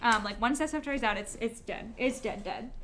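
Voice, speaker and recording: Lively intonation marks a woman's speech over noticeable background noise. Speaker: artist streamer. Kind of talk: casual livestream chat. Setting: livestream at editor's place. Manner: fast.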